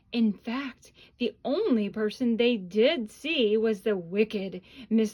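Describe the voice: What you hear is plain reading aloud.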